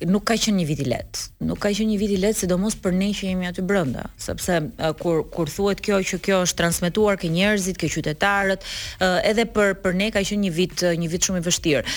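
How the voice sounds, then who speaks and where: At a very fast pace with hardly any pauses, a woman speaks in a medium pitch with fairly even intonation. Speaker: politician. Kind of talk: morning show interview. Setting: studio.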